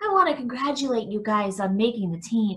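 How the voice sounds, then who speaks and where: A woman speaks fairly quickly in a raspy put-on character voice pitched fairly high. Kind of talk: read-aloud narration.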